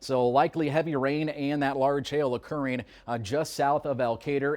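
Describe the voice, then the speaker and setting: A man with an American accent speaks in an unremarkable speaking voice, his pitch fairly high, his pace moderate and his intonation fairly even. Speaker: television meteorologist / weather anchor. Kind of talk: TV weather forecast and live report. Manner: clear, professional, conversational.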